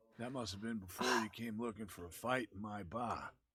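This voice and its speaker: In a put-on character voice, the speaker sounds raspy, moving at a fairly quick pace with fairly even intonation. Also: man, medium pitch for a man. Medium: video game. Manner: curt, guarded.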